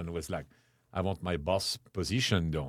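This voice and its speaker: A man with a French accent talks at a fairly quick pace. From Chartres, near Paris. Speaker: restaurateur. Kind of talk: casual interview chat with storytelling. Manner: animated, humorous storyteller.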